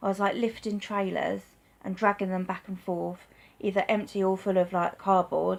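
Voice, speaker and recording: A woman's medium-pitched voice with monotone, flat intonation at a moderate pace. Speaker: vlogger with chronic illness. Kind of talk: personal vlog testimony. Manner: halting, with stutter; hesitant, many fillers.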